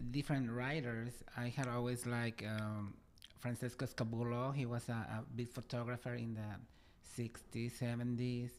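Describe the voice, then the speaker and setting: The speech comes at a fairly slow pace in a Spanish accent. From Mexico City. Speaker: interviewer and journalist. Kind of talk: interview talk show. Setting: studio, live stream. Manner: hesitant, many fillers.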